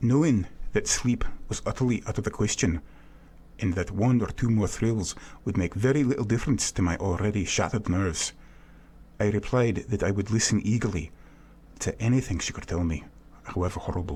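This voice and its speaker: A somewhat breathy man with a dark, mellow tone and fairly low pitch talks at a fairly quick pace, with ordinary pitch variation and long, frequent pauses. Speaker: voice actor. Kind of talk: audiobook narration.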